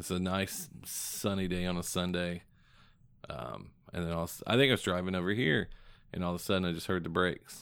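In a slight Southern accent, a man with a very deep, low pitch and ordinary pitch variation talks at a fairly quick pace on a very clean recording with a silent background. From southern Indiana. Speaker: podcast co-host. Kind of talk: casual chat. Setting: studio.

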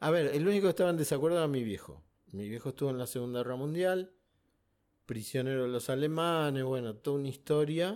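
Very fast speech from a man, fairly high in pitch with ordinary pitch variation. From Argentina, Buenos Aires. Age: 60s. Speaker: war veteran. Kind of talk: interview.

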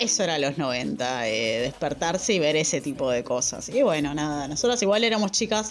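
Over noticeable background noise, a woman with a Rioplatense accent speaks at a moderate pace with hardly any pauses, her very deep, low pitch making very wide swings. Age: 30s. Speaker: podcast co-host. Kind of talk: casual chat.

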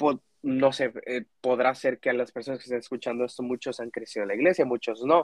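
An unremarkable speaking voice, a man at medium pitch and fairly quick pace, in a dry, close sound with no echo. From Mexico. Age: 20s. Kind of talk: casual faith conversation.

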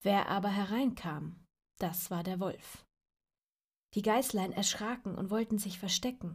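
The tone is gentle and warm and somewhat breathy, with ordinary pitch variation, long, frequent pauses, and a very clean recording with a silent background. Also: woman, medium pitch for a woman. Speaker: storyteller reading fairy tales aloud. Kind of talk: dramatic fairy-tale narration, suspenseful storytelling with a tale-spinning tone. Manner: gentle, warm, child-directed.

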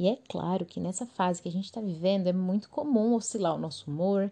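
A woman talks at a fairly quick pace at a medium pitch, with ordinary pitch variation. Her voice is somewhat breathy, with a dark, mellow tone. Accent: Brazilian. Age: 20s. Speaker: podcast host. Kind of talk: casual solo monologue.

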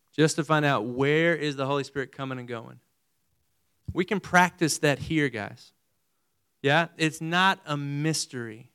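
In a very clean recording with a silent background, a man with a fairly high pitch and a bright, sharp, energetic tone speaks with ordinary pitch variation and long, frequent pauses. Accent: West Texas. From Texas, Amarillo. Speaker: missionary preacher. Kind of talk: evangelical sermon to a college audience, call-and-response questions to the crowd. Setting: stage with audience. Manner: energetic, conversational preaching with rapid rhetorical questions.

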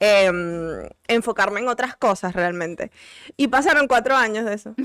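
A woman's fairly high voice at a fairly slow pace, bright and sharp in tone, on a very clean recording with a silent background. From Venezuela. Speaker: doctor, recurring guest. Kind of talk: casual chat.

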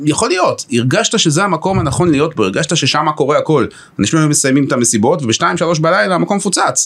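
With vocal fry and a fairly high pitch, a man talks at a very fast pace, his intonation lively and his loudness very even. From Israel, Haifa. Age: 50s. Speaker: chief executive of a municipal economic company. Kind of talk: podcast interview.

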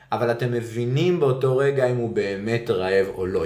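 Moving at a moderate pace, a man speaks with lively intonation. Audible room echo surrounds his voice. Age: 40s. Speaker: parenting podcast co-host. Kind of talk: casual chat.

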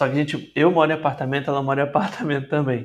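With fairly even intonation, a man uses a normal speaking voice at a fairly high pitch. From Espírito Santo, Brazil (Vitória). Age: 20s. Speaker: singer-songwriter. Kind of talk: interview.

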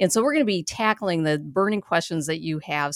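Fairly low in pitch, a woman with an ordinary speaking voice talks with lively intonation. The sound is dry and close with no echo, on a very clean recording with a silent background. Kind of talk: radio host patter.

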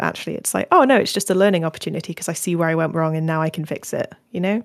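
Fairly low in pitch, a woman speaks with fairly even intonation in a plain, everyday voice, recorded very cleanly against a silent background. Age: 20s. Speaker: podcast host. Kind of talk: casual chat.

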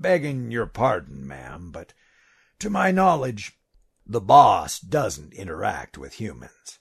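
In a raspy, put-on character voice, a man talks at medium pitch and a fairly slow pace, with big swings in loudness. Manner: gruff, wry, plainspoken.

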